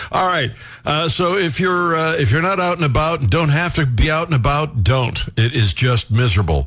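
A man with an ordinary speaking voice talks at a moderate pace in a fairly high pitch, his loudness very even and his intonation lively. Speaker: radio talk show host. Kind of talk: talk radio. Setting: studio.

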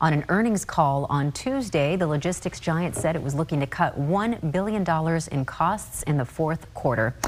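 Music plays in the background as a woman with a very deep, low voice speaks at a moderate pace. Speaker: news anchor. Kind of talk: news reading.

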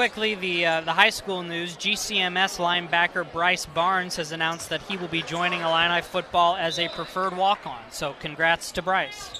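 A man's high-pitched, monotone, flat delivery at a moderate pace, with noticeable background noise. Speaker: color analyst on radio broadcast. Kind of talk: live sports commentary, analysis. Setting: gym, radio broadcast. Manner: conversational, relaxed.

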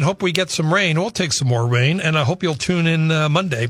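A man's unremarkable speaking voice, fairly high in pitch, with ordinary pitch variation and a moderate pace, on a very clean recording with a silent background. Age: 60s. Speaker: radio talk show host. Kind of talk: casual chat. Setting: radio studio.

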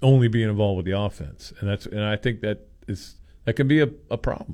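Male speech at a moderate speed, dark and mellow in tone. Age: 60s. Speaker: sports columnist and radio co-host. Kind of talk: casual sports talk radio.

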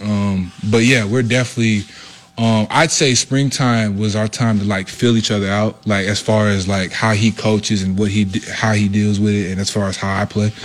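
Noticeable background noise sits behind a man with a fairly low pitch. He keeps a moderate pace and fairly even intonation. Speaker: college football player. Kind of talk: press interview.

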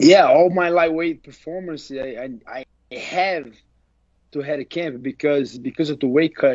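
He has a fairly high voice and a Portuguese accent. His loudness swings widely. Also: ordinary pitch variation, moderate pace. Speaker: MMA fighter. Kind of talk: interview.

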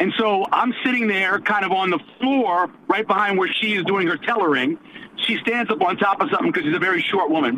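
The voice moves at a fairly quick pace with lively intonation and very even loudness, set against noticeable background noise. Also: man, high pitch for a man. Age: 50s. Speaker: radio show co-host. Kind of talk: storytelling.

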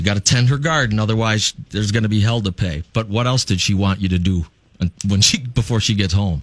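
The man's voice is fairly low and somewhat breathy. He talks at a fairly quick pace with ordinary pitch variation. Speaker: radio host. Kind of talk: casual banter, radio show. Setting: studio.

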